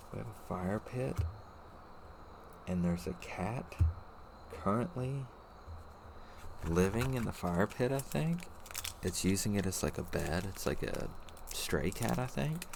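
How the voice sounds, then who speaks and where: Soft-spoken and very deep in pitch, a man talks at a fairly slow pace with long, frequent pauses and very wide pitch swings. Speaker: card-opening video creator. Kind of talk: ASMR card opening. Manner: quiet, soft-spoken.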